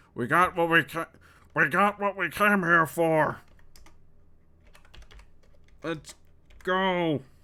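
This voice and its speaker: The speaker uses a put-on character voice at a middle pitch, going very slowly and leaving long, frequent pauses. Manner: exaggerated old cartoon style.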